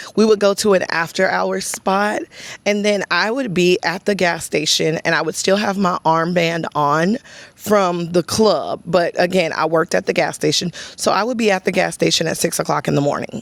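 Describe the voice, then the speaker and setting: Speaking with a Texan accent, a woman talks at a moderate pace and a medium pitch with ordinary pitch variation. The sound is dry and close, with no echo. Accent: Texas country. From US South, East Texas (Chapel Hill). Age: 30s. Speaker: content creator. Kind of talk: casual vlog talk to camera.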